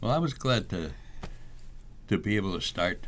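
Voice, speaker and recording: The intonation is lively, and noticeable background noise runs underneath. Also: man. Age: 80s+. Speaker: author and poet. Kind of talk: interview.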